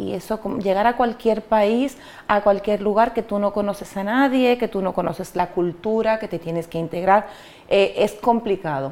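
Ordinary pitch variation colors a woman's medium-pitched voice at a moderate pace. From Dominican Republic (Cabrera, María Trinidad Sánchez). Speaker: migrant interviewee. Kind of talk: interview. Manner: hesitant, many fillers and repetitions.

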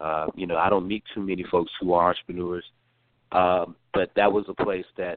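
A man's very deep, low voice in a slight Southern US accent, fairly quick and flat in monotone. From North Carolina. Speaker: former congressional staffer. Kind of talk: interview. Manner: halting, many fillers and repeated words.

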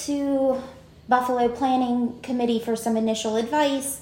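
In a room with audible echo and noticeable background noise, a woman speaks at a high pitch in a western Pennsylvania accent. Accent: western Pennsylvania American. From Greensburg, western Pennsylvania. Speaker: winery owner. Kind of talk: casual interview.

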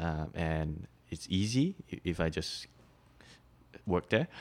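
A man's very deep, low voice with a Mandarin accent, on a very clean recording with a silent background. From Malaysia, then Shanghai. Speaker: campus ministry worker. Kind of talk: casual interview. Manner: halting.

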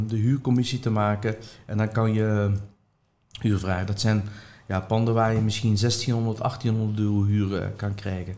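In a dark, mellow, fairly low voice, a man speaks fairly slowly with monotone, flat intonation. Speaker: property investor and trainer. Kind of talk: interview.

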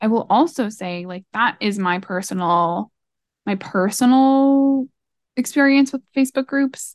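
A woman speaks at a fairly slow pace in an ordinary speaking voice with a fairly high pitch. The sound is dry and close, with no echo. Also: lively intonation. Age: 20s. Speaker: marketer and podcast co-host. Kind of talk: casual chat.

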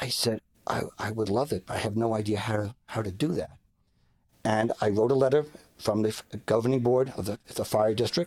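A man's medium-pitched voice with an American accent, at a moderate pace with ordinary pitch variation. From Long Island, New York. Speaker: politician, retired police officer. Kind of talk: interview.

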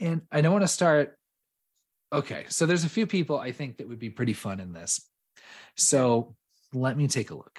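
A man speaks with a fairly high pitch, very wide pitch swings and big swings in loudness. His voice is somewhat breathy, broken by long, frequent pauses. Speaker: podcast host. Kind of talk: casual chat. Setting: remote recording.

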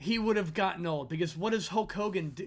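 Here a man speaks with an American accent. His pitch is high and his intonation lively. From US, Philadelphia. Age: 40s. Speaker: podcast host. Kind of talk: casual chat.

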